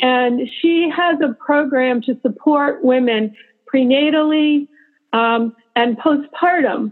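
A woman speaks at a very slow pace in a high pitch. Music plays in the background. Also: ordinary pitch variation. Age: 60s. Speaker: city council candidate and midwife. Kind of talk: interview.

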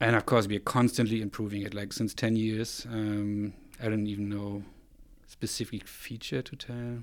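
In a German accent, a man with a fairly low pitch speaks at a moderate pace in a monotone, flat delivery on a very clean recording with a silent background. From East Germany, Rostock on the Baltic coast. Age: 40s. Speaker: photographer and software company co-founder. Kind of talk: interview conversation.

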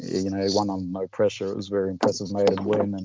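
A man with a plain, everyday voice, fairly low in pitch, at a fairly quick pace. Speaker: betting tipping service founder. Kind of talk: casual interview.

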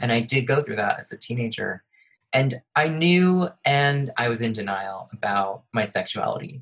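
Speaking at a moderate pace with medium pitch and lively intonation, the man has an unremarkable speaking voice. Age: 30s. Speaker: children's author and illustrator. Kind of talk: interview.

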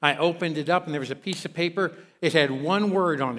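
Speaking in an American accent, a man keeps a moderate pace with ordinary pitch variation. The recording is very clean, with a silent background. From Kentucky. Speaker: guest pastor. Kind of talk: sermon. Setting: church with congregation.

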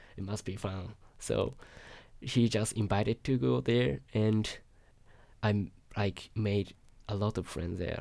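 A man with a Japanese accent speaks at a fairly slow pace and a fairly low pitch. He takes long, frequent pauses. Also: ordinary pitch variation. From Japan, Yokohama. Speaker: international student. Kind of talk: interview. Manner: halting.

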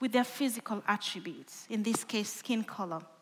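This woman talks with a Kenyan accent. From Kenya (western, Lake Victoria shore). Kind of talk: sermon-style talk. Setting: stage with audience.

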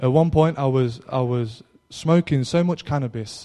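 Speaking with an East Midlands accent, a man uses a fairly high pitch and ordinary pitch variation. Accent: East Midlands English, noticeable. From Derby, East Midlands England. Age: 20s. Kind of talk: testimony. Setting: live talk to young audience. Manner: informal, slightly hesitant.

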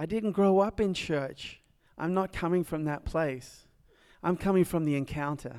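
The speaker is a man with an American accent and a high pitch. He talks at a moderate pace with ordinary pitch variation. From Nashville, Tennessee. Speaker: speaker sharing testimony, formerly homeless. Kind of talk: testimony. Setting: stage with audience.

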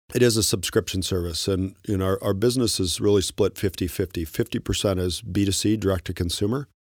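Speaking at a very fast pace with hardly any pauses, a man with a fairly low pitch comes through on a very clean recording with a silent background and a dry, close sound with no echo. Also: fairly even intonation. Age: 50s. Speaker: tech company co-founder. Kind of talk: interview.

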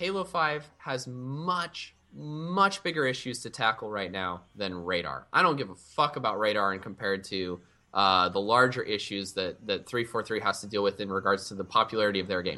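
Hardly any pauses break up this bright, sharp voice. Its intonation is lively, over a quiet background. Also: man, fairly low pitch for a man, moderate pace. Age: 20s. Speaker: esports team manager. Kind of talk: casual chat.

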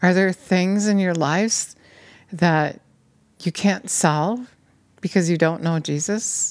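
A woman at a fairly low pitch, very slow pace and ordinary pitch variation. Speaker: preacher. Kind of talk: sermon, preacher in full flow, urgent exhortation ending in prayer. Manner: fervent, insistent, pressing repeated phrases like a hammering appeal.

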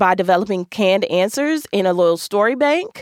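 Her voice is medium in pitch and an unremarkable speaking voice, with lively intonation and a dry, close sound with no echo on a very clean recording with a silent background. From US Midwest, Milwaukee. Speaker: podcast host and attorney. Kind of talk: casual monologue, career advice. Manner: conversational with many filler ums.

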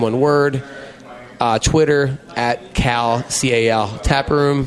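Music plays in the background. A man speaks in a fairly high voice with fairly even intonation. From Philadelphia, US. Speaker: bar owner. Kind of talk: casual chat interview. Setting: in a bar.

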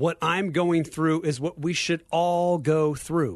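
A man with a fairly high pitch talks in a normal speaking voice against a quiet background. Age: 50s. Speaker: ministry leader. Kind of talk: radio interview. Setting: studio.

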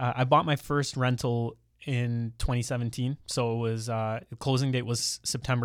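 On a very clean recording with a silent background, a man with a Canadian accent speaks at a moderate pace in a medium-pitched, flat monotone. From Ontario, Canada (Mississauga, Brampton). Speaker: millennial real estate investor and podcaster. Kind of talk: casual interview chat. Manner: articulate, well spoken.

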